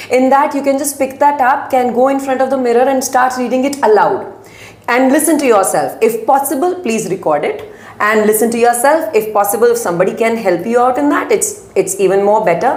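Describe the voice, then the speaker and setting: Lively intonation and a fairly quick pace come through with audible room echo and noticeable background noise. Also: woman, high pitch for a woman. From India, Uttar Pradesh small town. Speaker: business school representative. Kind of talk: interview. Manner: halting.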